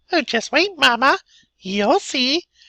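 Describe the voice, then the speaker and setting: A female-sounding voice pitched high performs a put-on character voice. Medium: read story.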